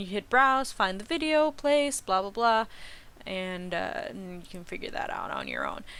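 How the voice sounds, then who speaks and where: A woman speaks with a fairly high pitch and ordinary pitch variation. Her tone is bright and sharp. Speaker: streaming software tutorial maker. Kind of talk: tutorial. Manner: halting, many fillers.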